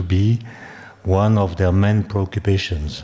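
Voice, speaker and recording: The speaker has a French accent. The intonation is fairly even. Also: man. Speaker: conference speaker, physicist or philosopher. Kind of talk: academic lecture. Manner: halting, with fillers and self-repetition.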